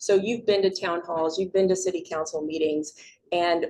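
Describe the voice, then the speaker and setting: At a fairly quick pace, a woman uses an unremarkable speaking voice of medium pitch and fairly even intonation. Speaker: public speaking teacher. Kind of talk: community presentation.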